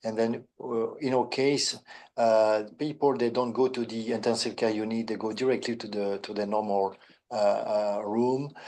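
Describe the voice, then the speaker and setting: A man with a French accent, medium in pitch, dark and mellow in tone, at a moderate pace with fairly even intonation. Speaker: neurosurgeon. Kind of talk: webinar panel answer. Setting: online webinar. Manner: halting.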